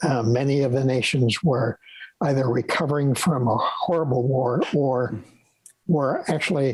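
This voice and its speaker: A man's somewhat breathy voice at very even loudness, with fairly even intonation. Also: medium pitch for a man, moderate pace. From raised abroad (Yukon, Bahrain, Holland, Lebanon), then New York. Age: 80s+. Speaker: retired professor of pathology. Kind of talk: interview conversation. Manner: halting.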